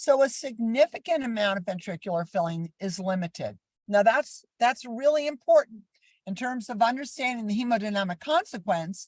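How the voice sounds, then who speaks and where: A woman with a fairly high pitch sounds somewhat breathy and animated, using lively intonation at a moderate pace, with a dry, close sound and no echo. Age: 70s. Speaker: critical care educator. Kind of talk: lecture.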